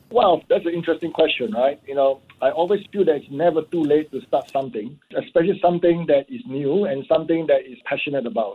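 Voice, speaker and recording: A man talks very fast with hardly any pauses, his pitch fairly high. His intonation is lively and his loudness swings widely. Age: 60s. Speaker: entrepreneur. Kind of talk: radio interview.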